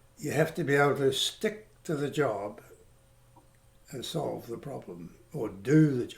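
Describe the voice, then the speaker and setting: A man with vocal fry speaks at a fairly high pitch and fairly slow pace. His pitch swings very widely. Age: 80s+. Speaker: CAD draughtsman. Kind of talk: interview answer.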